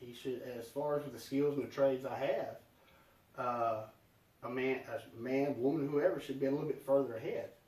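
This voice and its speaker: In a moderately paced delivery, a man with a Southern US accent talks at a fairly high pitch, with audible echo in the room. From US South. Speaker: podcast guest. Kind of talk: casual chat. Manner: dramatic.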